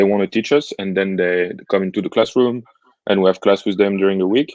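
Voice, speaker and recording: With a French accent, a man speaks at a fairly low pitch and with fairly even intonation, his voice dry and close with no echo against a quiet background. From France. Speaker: entrepreneurship student. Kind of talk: interview. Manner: hesitant, many fillers.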